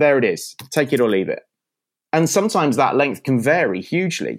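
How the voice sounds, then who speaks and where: Fairly quick, lively male speech with vocal fry. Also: very clean recording, silent background. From UK. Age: 40s. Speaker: tech company founder, former radio producer. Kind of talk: interview.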